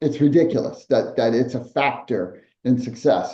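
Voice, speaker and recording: Using vocal fry and a dark, mellow tone, a man speaks at a fairly slow pace. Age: 60s. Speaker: podcast co-host, entrepreneur. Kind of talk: casual podcast discussion.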